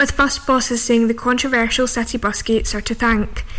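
Over noticeable background noise, a woman with a fairly high pitch talks at a fairly quick pace in a monotone, flat intonation. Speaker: radio newsreader. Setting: studio. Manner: formal; fast-paced and even, with brisk newsreader delivery.

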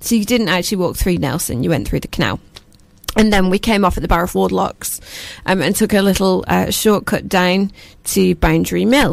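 A woman talks at a fairly quick pace in a Lancashire accent. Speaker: community radio presenter and charity founder. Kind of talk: casual chat. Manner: loud.

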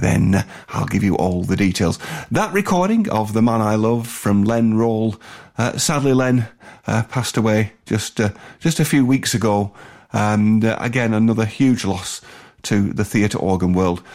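In a northern English accent, a man talks at a fairly slow pace with a fairly low pitch, ordinary pitch variation and very even loudness, on a very clean recording with a silent background. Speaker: radio host. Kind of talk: radio music show presenting. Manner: hesitant with fillers.

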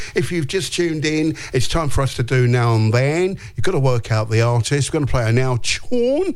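Noticeable background noise sits behind a man talking at very even loudness. He hardly pauses at all. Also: medium pitch for a man, ordinary pitch variation, moderate pace. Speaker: radio host. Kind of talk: radio DJ patter on a breakfast show. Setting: studio. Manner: chatty, relaxed and upbeat, rambling off on tangents.

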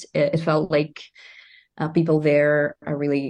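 In a quiet background, a woman speaks with a Russian accent. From Russia, Moscow. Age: 30s. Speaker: singer-songwriter and music student. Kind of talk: interview.

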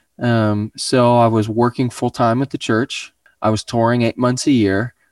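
A man's medium-pitched voice with an American accent, at a fairly slow pace, on a very clean recording with a silent background. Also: dry, close sound with no echo. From Oklahoma, US. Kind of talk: casual interview.

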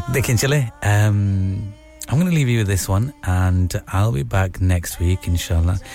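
Music plays behind a man speaking at a fairly slow pace with a fairly low pitch and lively intonation. He hardly pauses and keeps his loudness very even. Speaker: radio host. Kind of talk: radio DJ patter, late-night show host chatting. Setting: studio. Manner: warm, chatty, relaxed, casual, with Urdu/Hindi phrases mixed in and friendly sign-offs.

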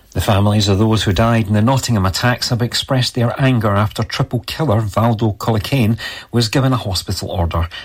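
A man with a Scottish accent talks at a very fast pace, somewhat breathy, with very even loudness and ordinary pitch variation. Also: medium pitch for a man. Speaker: radio newsreader. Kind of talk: brisk local-radio weather report, read from a script. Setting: radio studio. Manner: steady, even newsreader pacing; occasional stumbles, corrects himself mid-sentence.

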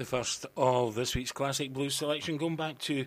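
A man speaks in a plain, everyday voice at a medium pitch and moderate pace, with ordinary pitch variation. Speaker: radio host. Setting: studio. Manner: relaxed, chatty, wry and laid-back, laughs at own jokes.

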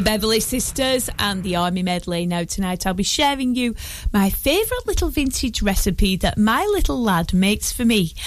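A woman speaks at a medium pitch and a fairly quick pace, with lively intonation. She has an unremarkable speaking voice. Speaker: radio presenter. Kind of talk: radio show presenting, music programme. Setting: radio studio. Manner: warm, chatty, playful; relaxed, cosy, laughing.

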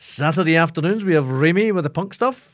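A man in an animated tone, on a very clean recording with a silent background. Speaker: community radio DJ. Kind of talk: radio DJ patter between rock tracks, show intros and back-announcements. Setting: radio studio broadcast. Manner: animated, jokey, self-deprecating.

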